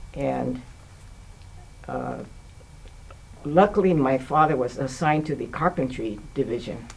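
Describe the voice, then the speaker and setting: With noticeable background noise behind them, the speaker has an American accent and moves at a fairly slow pace, leaving long, frequent pauses. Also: woman. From United States. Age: 80s+. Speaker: playwright. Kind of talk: interview answer. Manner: hesitant, conversational.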